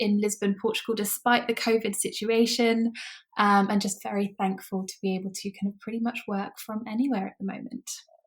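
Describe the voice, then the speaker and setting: A woman speaks with a British accent at a fairly high pitch. Her voice is somewhat breathy, with fairly even intonation. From UK. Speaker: online business manager. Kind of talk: podcast interview.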